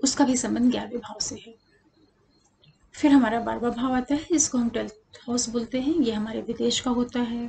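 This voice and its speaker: Soft-spoken and high-pitched, a woman talks at a moderate pace with fairly even intonation. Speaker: astrologer. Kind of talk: tutorial. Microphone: voice too quiet, no external mic.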